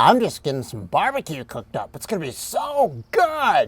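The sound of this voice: A man moves at a moderate pace while putting on a character voice.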